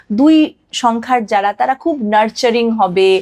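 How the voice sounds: Her pitch fairly high, a woman speaks at a fairly slow pace with lively intonation and a slightly mellow tone.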